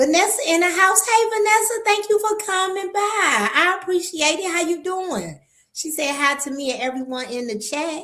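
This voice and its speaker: Bright and sharp in tone, a woman speaks in an animated way at a moderate pace. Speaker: livestream host. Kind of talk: casual livestream chat.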